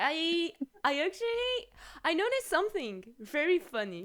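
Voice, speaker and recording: Speaking at a fairly slow pace in a strong French accent, a woman's voice swings very widely in pitch. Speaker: streamer. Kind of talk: casual chat.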